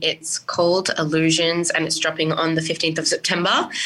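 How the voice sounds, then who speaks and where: Speaking with an Australian accent, a woman uses a fairly low pitch. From Sydney, Australia (Western Sydney). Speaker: singer. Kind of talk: interview.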